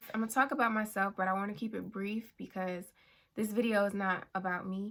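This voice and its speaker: Soft-spoken and calm, a woman talks at a moderate pace with fairly even intonation in a very clean recording with a silent background. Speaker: YouTuber. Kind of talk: personal vlog talk. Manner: calm, soft-spoken.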